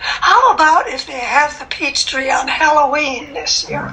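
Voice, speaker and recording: A woman projects her voice in a raised, high-pitched way. She speaks at a fairly slow pace over noticeable background noise. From Minnesota. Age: 80s+. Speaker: masters runner. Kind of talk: interview answer.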